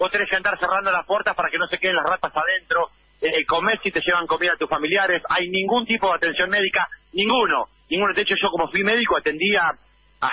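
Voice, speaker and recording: Very fast, high-pitched speech from a man with fairly even intonation and noticeable background noise. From Argentina, La Plata. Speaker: activist, former political prisoner. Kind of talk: phone interview. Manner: halting.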